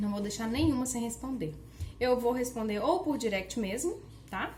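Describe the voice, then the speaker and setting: With audible room echo, a woman speaks at a fairly high pitch, showing vocal fry and ordinary pitch variation. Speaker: online educator. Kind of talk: workshop lecture. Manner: casual conversational.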